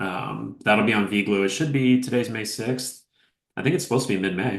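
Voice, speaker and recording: A man with an American accent talks at a fairly quick pace, medium in pitch with ordinary pitch variation. It is a normal speaking voice. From United States. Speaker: actor and producer. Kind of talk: interview. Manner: casual.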